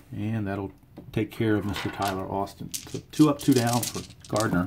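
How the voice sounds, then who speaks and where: A man talks at a moderate pace in a fairly low pitch with ordinary pitch variation. His voice is somewhat breathy. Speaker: tabletop baseball game player and narrator. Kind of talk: play-by-play of a dice baseball game. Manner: casual, thinking aloud.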